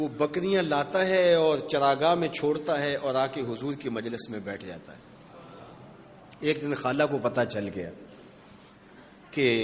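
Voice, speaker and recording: With lively intonation, a man speaks in an unremarkable speaking voice at a fairly high pitch. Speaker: Islamic scholar giving a sermon. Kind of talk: emotional religious sermon (bayan). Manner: storytelling, building emotion.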